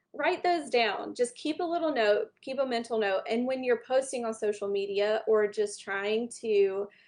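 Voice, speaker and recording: Speaking in a Southern US accent, a woman with a fairly high pitch keeps a moderate pace with lively intonation and hardly any pauses. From US South. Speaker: small business branding speaker. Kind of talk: online workshop talk. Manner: casual, conversational.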